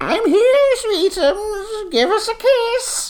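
A put-on character voice, female-sounding, extremely high in pitch and very slow in pace. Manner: sweet, affectionate.

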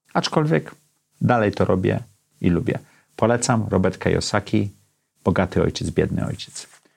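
A man with a fairly low pitch and ordinary pitch variation talks at a moderate pace, leaving long, frequent pauses. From Poland, Gdańsk. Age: 50s. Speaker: podcast host. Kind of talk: solo monologue.

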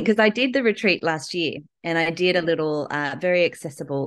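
Against a quiet background, a woman with an Australian accent speaks with lively intonation. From Newcastle, Australia. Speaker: textile artist. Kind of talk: interview. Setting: at home.

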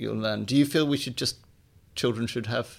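Vocal fry runs through speech delivered at a very fast pace. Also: man. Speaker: podcast host and literary editor. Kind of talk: interview.

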